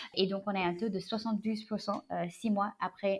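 A woman talks in a medium pitch with monotone, flat intonation. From United States (born in China). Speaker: startup CEO. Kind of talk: interview. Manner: halting, many fillers.

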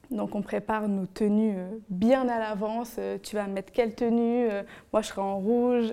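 Her tone is dark and mellow, with a fairly high pitch for a woman and monotone, flat intonation. The woman speaks at a fairly slow pace in a very clean recording with a silent background. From Benin. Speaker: guest storyteller. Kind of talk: personal anecdote in casual interview.

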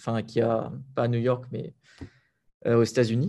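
The tone is dark and mellow, the pace moderate. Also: man. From Réunion (Sainte-Anne). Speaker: entrepreneur and property investor. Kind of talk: interview.

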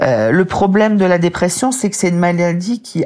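The woman speaks at a moderate pace with a fairly low pitch. There is noticeable background noise. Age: 50s. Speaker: author and medical writer, depression survivor. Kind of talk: interview testimony.

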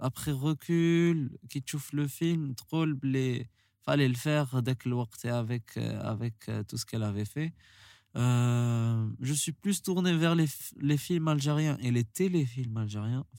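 The recording is dry and close, with no echo. A man at a medium pitch speaks very slowly. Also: ordinary pitch variation. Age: 20s. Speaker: musician. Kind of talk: casual interview. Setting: studio.

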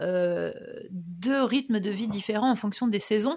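A woman uses a plain, everyday voice at a medium pitch. She talks at a fairly slow pace with ordinary pitch variation. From France, Ardennes (north-east). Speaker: podcast host. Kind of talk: casual interview chat.

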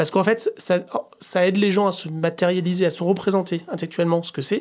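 On a very clean recording with a silent background, the talking proceeds at a moderate pace. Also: man. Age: 40s. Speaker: head of design. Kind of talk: casual interview.

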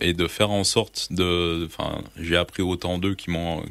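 The man speaks in a very deep, low pitch. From Quebec, Gaspésie. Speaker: survival instructor and writer. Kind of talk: casual interview. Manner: hesitant, with frequent fillers.

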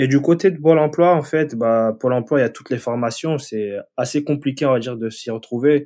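A man's normal speaking voice, medium in pitch, with ordinary pitch variation at a moderate pace. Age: 30s. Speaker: web developer. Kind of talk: casual interview.

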